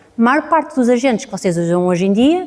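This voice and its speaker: In a European Portuguese accent, a woman speaks at a fairly quick pace. Her pitch is fairly high. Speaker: data scientist, conference speaker. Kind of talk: conference talk. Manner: fast.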